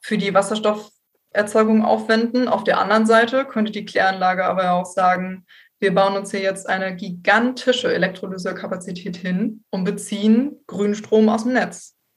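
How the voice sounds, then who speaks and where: At a moderate pace and with hardly any pauses, a woman talks in a somewhat breathy, medium-pitched voice with fairly even intonation. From northern Germany, Bremen area. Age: 20s. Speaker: environmental engineer, recent graduate. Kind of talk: expert interview.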